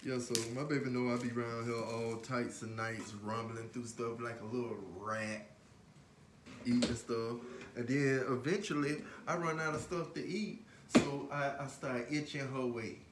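Moderate pace, ordinary pitch variation, and noticeable background noise. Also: man. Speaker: vlogger. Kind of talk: casual vlog chat. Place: kitchen. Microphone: phone near.

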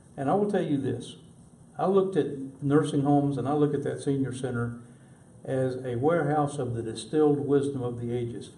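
The speech moves at a fairly quick pace with ordinary pitch variation, and audible room echo can be heard. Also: man, fairly high pitch for a man. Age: 70s. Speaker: city council candidate. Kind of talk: interview.

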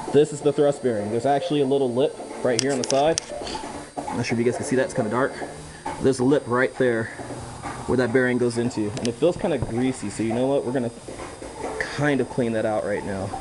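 A man rushes along at a very fast pace, ordinary pitch variation in his voice, as noticeable background noise plays behind him. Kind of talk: tutorial. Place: garage. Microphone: camera far.

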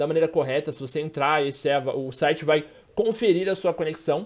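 Talking at a fairly quick pace with ordinary pitch variation, a man is heard over a quiet background. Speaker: gaming youtuber. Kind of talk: casual vlog chat. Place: home room. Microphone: studio mic.

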